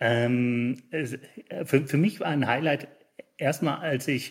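Over a very clean recording with a silent background, a man sounds somewhat breathy, with ordinary pitch variation. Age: 50s. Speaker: managing director of an industry association. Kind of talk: interview. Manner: hesitant, many filler sounds.

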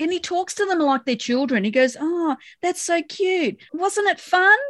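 Recorded dry and close with no echo, a woman with an Australian accent talks at a fairly slow pace in an extremely high pitch with lively intonation. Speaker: podcast co-host discussing a TV show. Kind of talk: casual chat.

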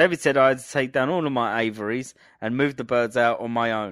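Speech at a moderate pace with ordinary pitch variation comes through in a very clean recording with a silent background. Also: man. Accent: southern English. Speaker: podcast co-host. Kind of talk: casual chat. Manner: joking, good at accents.

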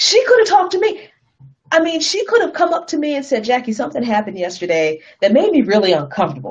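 A woman with an American accent talks at a very fast pace in a somewhat breathy voice, her pitch swinging very widely. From US small town. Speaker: activist and commentator. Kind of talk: casual chat. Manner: animated.

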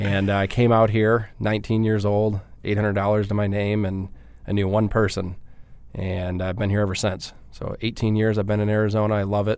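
This man speaks at a fairly quick pace in a fairly low pitch. His intonation is monotone and flat. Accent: slight Midwestern. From Michigan, Detroit area. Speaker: digital marketing agency founder. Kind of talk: interview.

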